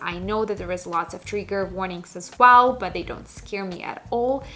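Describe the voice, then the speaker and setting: A woman with a non-native accent and a medium pitch talks at a fairly quick pace with ordinary pitch variation. Noticeable background noise is present. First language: not English. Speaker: book YouTuber. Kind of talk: casual vlog talk.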